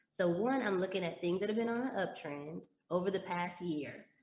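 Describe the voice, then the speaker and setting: Speaking at a fairly quick pace with an American accent, a woman has an unremarkable speaking voice, fairly low pitch and ordinary pitch variation. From Texas, Dallas. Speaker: stock trader and former teacher. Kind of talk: casual interview.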